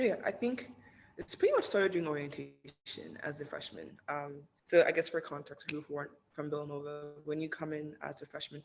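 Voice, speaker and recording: A woman speaks at a fairly quick pace. Her very deep, low pitch shows ordinary pitch variation. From Nigeria (Lagos). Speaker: university student. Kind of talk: podcast interview.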